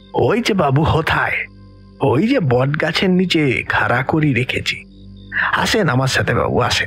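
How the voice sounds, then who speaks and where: A man puts on a husky, hissing character voice at a fairly high pitch. He speaks at a fairly slow pace with clear music in the background. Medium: audio drama. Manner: deferential, rural, eerie.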